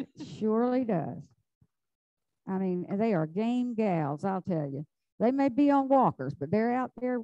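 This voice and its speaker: A woman with a Southern US accent, a fairly high pitch and a dark, mellow tone, her pitch swinging very widely at a fairly slow pace with long, frequent pauses, in a dry, close sound with no echo. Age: 70s. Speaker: flower arranging instructor. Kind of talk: live demonstration. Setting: club hall with live audience and zoom. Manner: chatty, animated.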